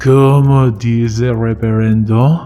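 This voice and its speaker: A man uses a put-on character voice at a medium pitch with fairly even intonation and a very slow pace. Clear music plays in the background. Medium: read story. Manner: coarse, profane, blunt.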